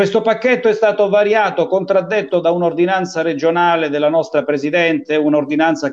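A man with a normal speaking voice, fairly high-pitched for a man, at a moderate pace. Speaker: talk show host. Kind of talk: casual interview talk show. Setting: video call.

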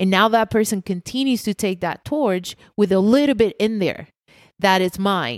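Medium pitch from a woman with ordinary pitch variation, a dry, close sound with no echo and a very clean recording with a silent background. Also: moderate pace. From Puerto Rico. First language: Spanish. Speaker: pastry chef. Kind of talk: casual chat.

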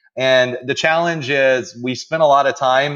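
A man at medium pitch against a quiet background. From Iran, moved to the US at eight. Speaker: entrepreneur. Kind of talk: casual chat. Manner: animated.

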